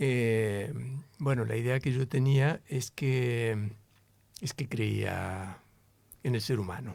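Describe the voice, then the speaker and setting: On a very clean recording with a silent background, a man at a medium pitch talks at a very slow pace with long, frequent pauses and ordinary pitch variation. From Argentina, La Plata. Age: 60s. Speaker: interview guest. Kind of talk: interview conversation.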